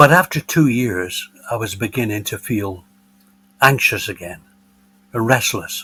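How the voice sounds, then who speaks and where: The voice has a bright, sharp tone and lively intonation, with big swings in loudness and long, frequent pauses. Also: man, medium pitch for a man. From northern England, Bolton, Lancashire. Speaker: retiree and former business executive. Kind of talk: podcast interview, personal storytelling.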